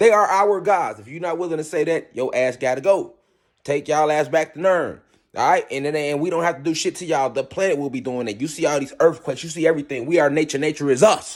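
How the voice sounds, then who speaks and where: Fairly high in pitch, a man talks at a very fast pace with big swings in loudness and ordinary pitch variation. The recording is very clean, with a silent background. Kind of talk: monologue.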